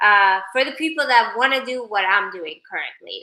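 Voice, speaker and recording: In a bright, sharp tone, a woman talks at a moderate pace with ordinary pitch variation. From Sweden. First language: not English (Persian/Swedish). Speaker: social media personality. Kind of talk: casual livestream chat. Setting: livestream. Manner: animated.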